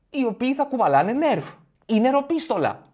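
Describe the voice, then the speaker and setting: A man is speaking. The background is quiet. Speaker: comedian podcast host. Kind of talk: stand-up comedy routine. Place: home room. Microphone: studio mic.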